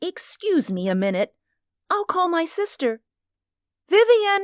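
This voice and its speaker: A female-sounding, put-on character voice pitched extremely high for a woman moves at a fairly slow pace. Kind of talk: radio drama performance.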